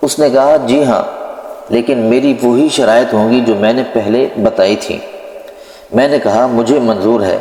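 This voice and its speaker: Medium pitch from a man with fairly even intonation, against noticeable background noise. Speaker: Islamic preacher narrating a religious story. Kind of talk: Islamic story narration (bayan).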